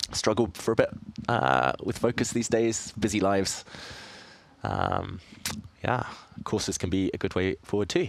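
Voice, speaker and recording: In a southern English accent, a man speaks with a fairly low pitch and lively intonation. Vocal fry shows, and he leaves long, frequent pauses. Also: moderate pace. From southeast England. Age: 30s. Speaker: chess grandmaster streamer. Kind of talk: live stream commentary. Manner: casual.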